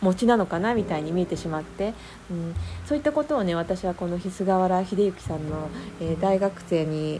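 Over noticeable background noise, the speaker uses lively intonation at a moderate pace. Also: woman, medium pitch for a woman. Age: 40s. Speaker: podcast host, coaching student. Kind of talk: casual solo talk. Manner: many fillers and hesitations.

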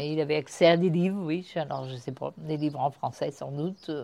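At a moderate pace, a woman speaks in a very deep, low pitch with a dark, mellow tone and ordinary pitch variation. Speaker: grandparent sharing family memories. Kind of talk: testimony.

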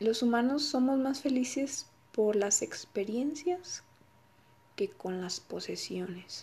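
A woman speaks in a Mexican accent at a very slow pace, her tone dark and mellow. Her pitch is high and swings very widely. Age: 20s. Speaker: podcaster and graduate student. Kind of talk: solo podcast talk.

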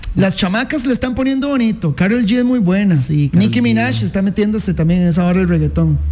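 A man with a Costa Rican accent talks at a fairly quick pace with hardly any pauses, his tone animated and his pitch high with very wide swings. His loudness stays very even over noticeable background noise. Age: 30s. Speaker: sports radio host. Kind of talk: casual radio talk show.

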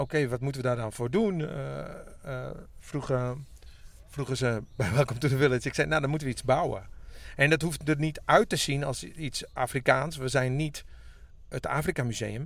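A man with a Friesland accent talks at a moderate pace and medium pitch, with ordinary pitch variation and long, frequent pauses. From Friesland (Makkum). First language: Frisian (speaking Dutch). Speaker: musician. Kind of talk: casual chat. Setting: in a parked tour bus by a pond in a forest.

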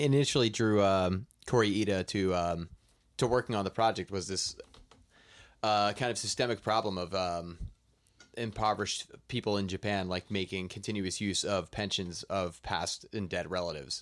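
A man with an unremarkable speaking voice talks at a fairly low pitch and moderate pace, with ordinary pitch variation, on a very clean recording with a silent background. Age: 30s. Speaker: movie podcast co-host. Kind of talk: casual chat.

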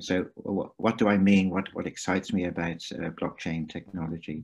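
A man in an English accent, fairly low-pitched, with fairly even intonation, a moderate pace and a quiet background. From England. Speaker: venture capital investor. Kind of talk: interview.

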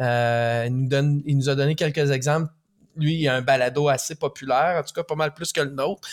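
With a Quebec accent, a man speaks at a fairly quick pace with a fairly high pitch and fairly even intonation. The sound is dry and close with no echo, in a very clean recording with a silent background. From Quebec, Rimouski. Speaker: podcast co-host. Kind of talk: casual interview.

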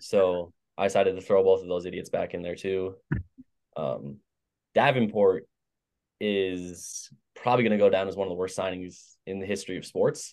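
A man speaks in a very deep, low voice with fairly even intonation and long, frequent pauses. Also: moderate pace, quiet background. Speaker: sports podcast co-host. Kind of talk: casual sports chat. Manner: blunt, opinionated.

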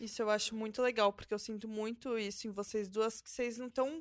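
This is a plain, everyday voice with fairly even intonation and hardly any pauses. It moves at a moderate pace, with big swings in loudness. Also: woman. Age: 20s. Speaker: podcast host. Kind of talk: casual chat.

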